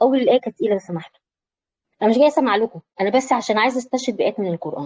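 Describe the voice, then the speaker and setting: With an Egyptian accent, a woman talks at a very fast pace with lively intonation in a dry, close sound with no echo. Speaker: psychology and self-awareness coach. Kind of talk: online lecture with live audience. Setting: online video session. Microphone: voice may be cutting in and out.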